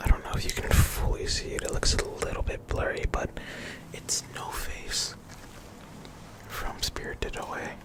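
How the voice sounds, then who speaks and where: Someone whispers at a moderate pace, with long, frequent pauses. Noticeable background noise is present. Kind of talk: ASMR ramble to camera. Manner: whispered; casual, rambling.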